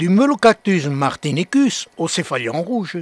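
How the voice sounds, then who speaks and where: Speaking at a very slow pace, a man with a high pitch makes very wide pitch swings in a dry, close sound with no echo. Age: 80s+. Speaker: cactus grower. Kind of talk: scripted narration.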